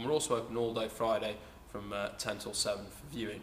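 Audible room echo and light background noise accompany a man speaking at a medium pitch and a fairly quick pace. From North Yorkshire. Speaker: auctioneer. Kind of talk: casual promotional talk to camera. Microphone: camera far.

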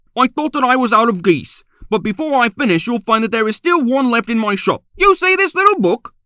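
Using a put-on character voice, a man speaks at a fairly quick pace in an extremely high pitch. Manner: combative, snappish.

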